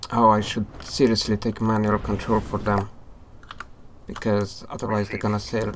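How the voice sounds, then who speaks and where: With a non-native accent, a man speaks at a moderate pace in a fairly low, monotone voice of flat intonation, broken by long, frequent pauses. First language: not English. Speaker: gaming YouTuber. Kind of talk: gameplay commentary. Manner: casual, hesitant with fillers.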